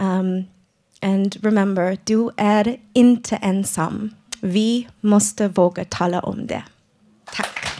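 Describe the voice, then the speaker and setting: This woman speaks at a very slow pace in a dark, mellow tone with a non-native accent. Her intonation stays monotone and flat. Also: medium pitch for a woman. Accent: non-native Swedish. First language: English (speaking Swedish). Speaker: radio presenter, clubhouse member. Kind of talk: prepared speech; live radio presenting. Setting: live broadcast before studio audience.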